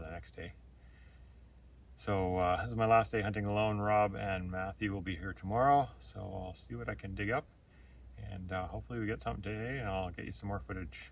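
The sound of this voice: A man's fast delivery, low in pitch, fairly bright in tone, with fairly even intonation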